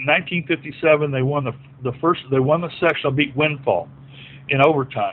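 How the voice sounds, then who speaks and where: A man with an American accent has a normal speaking voice at a fairly high pitch. He talks at a moderate pace with fairly even intonation. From southwest Virginia, Appalachia. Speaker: former basketball player. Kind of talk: casual interview.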